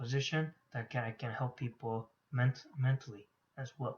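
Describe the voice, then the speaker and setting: Flat, monotone intonation from a male speaker at a medium pitch. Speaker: graduate student. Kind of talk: class presentation. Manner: halting.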